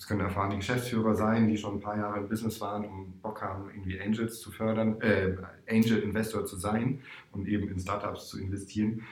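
Amid audible room echo, a man talks at a very fast pace in a fairly low pitch, with monotone, flat intonation and big swings in loudness. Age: 40s. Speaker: startup investment manager and coach. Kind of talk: interview.

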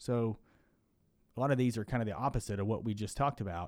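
A man with an American accent talks with lively intonation. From Kentucky, US. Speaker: physician podcast host. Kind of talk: educational podcast discussion. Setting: studio podcast. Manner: talks faster when nervous.

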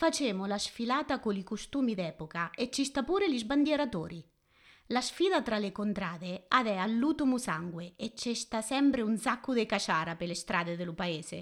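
A woman's fairly high voice with very wide pitch swings, on a very clean recording against a silent background. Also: moderate pace. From Marche, Italy (Fermo). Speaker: interviewee speaking dialect. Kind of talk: interview answers in dialect.

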